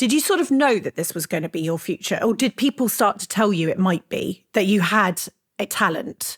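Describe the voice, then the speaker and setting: A woman speaks at a fairly quick pace in a medium pitch, somewhat breathy, on a very clean recording with a silent background and a dry, close sound with no echo. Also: lively intonation. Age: 40s. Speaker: podcast host and entrepreneur. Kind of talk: interview conversation. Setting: studio.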